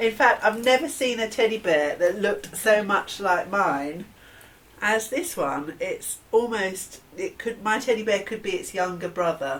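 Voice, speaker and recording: A woman with a southern English accent, fairly high-pitched and lively in intonation, at a fairly slow pace over noticeable background noise. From southern England, near Battle, East Sussex. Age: 50s. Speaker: interviewee sharing childhood memories. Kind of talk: oral history interview.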